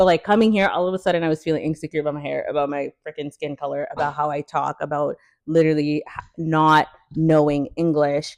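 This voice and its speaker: A very fast, animated delivery with a dry, close sound and no echo. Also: woman, very deep, low pitch for a woman. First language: French. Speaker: podcast co-host. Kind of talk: casual chat. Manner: animated, many fillers.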